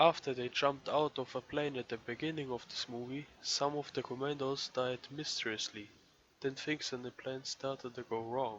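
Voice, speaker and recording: A man speaks at medium pitch in a monotone, flat intonation. Noticeable background noise runs underneath. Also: moderate pace. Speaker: movie reviewer. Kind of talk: scripted review narration.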